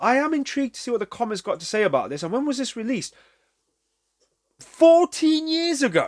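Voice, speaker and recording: A man's extremely high-pitched voice with a British accent, fairly quick yet broken by long, frequent pauses, very wide pitch swings, dry and close with no echo, on a very clean recording with a silent background. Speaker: music reaction youtuber. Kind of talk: casual reaction commentary. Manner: halting, many fillers.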